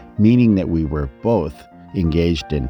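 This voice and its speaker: Music plays in the background as a man with a very deep, low pitch talks at a moderate pace with lively intonation. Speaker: documentary producer. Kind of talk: documentary narration.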